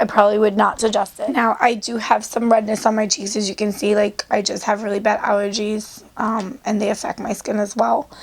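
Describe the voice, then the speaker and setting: A woman's fairly high voice at a moderate pace, fairly even intonation, noticeable background noise. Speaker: beauty vlogger. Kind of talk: makeup review tutorial. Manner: casual, chatty.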